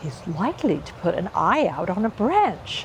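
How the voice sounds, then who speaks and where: A put-on, whiny character voice that sounds female comes at medium pitch and a moderate pace over clear background noise. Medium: read story. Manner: whining.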